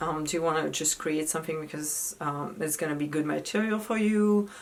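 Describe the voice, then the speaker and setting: A woman is speaking. She has a French accent. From France. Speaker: actress. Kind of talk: casual tips talk to camera.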